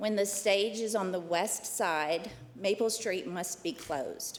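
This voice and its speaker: Speaking at a medium pitch, a woman shows ordinary pitch variation. Her pace is fairly slow. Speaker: downtown nonprofit representative. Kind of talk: formal presentation to county committee. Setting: public committee meeting.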